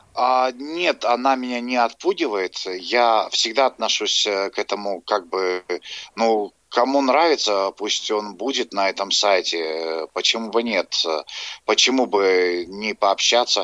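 A man's fairly low, bright, sharp voice at a very slow pace, with ordinary pitch variation and a dry, close sound with no echo. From Dagestan. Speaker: caller. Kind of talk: phone-in comment. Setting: phone call. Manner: halting.

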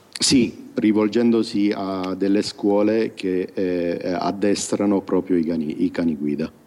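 Very slowly, with ordinary pitch variation, a man speaks while background noise is noticeable. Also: fairly low pitch for a man. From Sicily, province of Siracusa. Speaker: blind software developer. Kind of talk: interview.

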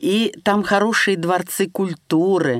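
The recording is dry and close, with no echo. A woman speaks at a very slow pace. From Russia, Serpukhov (Moscow region). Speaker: blind poet. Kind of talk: interview. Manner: halting.

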